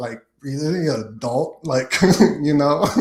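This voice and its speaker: Slow-paced and fairly even in intonation, a man talks with an American accent. His is a plain, everyday voice. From Las Vegas, US. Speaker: comedian podcast guest. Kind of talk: casual chat.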